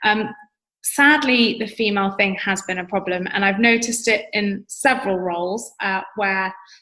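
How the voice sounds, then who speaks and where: At a moderate pace, a woman with a medium-pitched voice speaks in a bright, sharp tone with fairly even intonation. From London, England. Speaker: entrepreneur and public speaking coach. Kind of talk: podcast interview. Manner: articulate, conversational with fillers.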